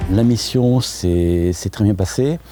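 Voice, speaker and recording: A man with lively intonation amid noticeable background noise. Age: 60s. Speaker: volunteer electrician. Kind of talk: interview. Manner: hesitant, frequent filler sounds.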